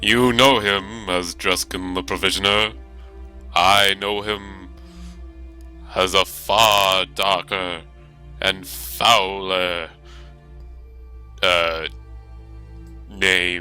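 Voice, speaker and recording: Against clear music in the background, a man uses a put-on character voice with a very deep, low pitch, moving at a very slow pace with long, frequent pauses. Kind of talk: comic overacting. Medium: actual play. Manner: grandiose, archaic phrasing.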